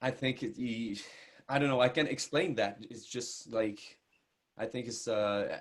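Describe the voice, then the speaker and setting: A man talks at medium pitch and moderate pace. His intonation is fairly even. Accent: strong Quebec. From Quebec. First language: French. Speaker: country singer. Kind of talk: interview. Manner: halting, many repetitions and fillers.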